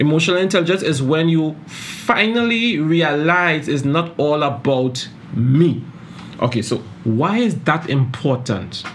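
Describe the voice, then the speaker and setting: With a Caribbean accent, a man talks at a fairly slow pace in a fairly high pitch, his intonation lively and his loudness very even, against noticeable background noise. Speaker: podcast host, psychologist. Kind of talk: solo podcast talk on self-improvement.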